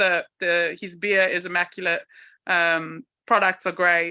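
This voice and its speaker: In a very clean recording with a silent background, a woman speaks loudly at medium pitch with a bright, sharp tone. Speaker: pub landlady.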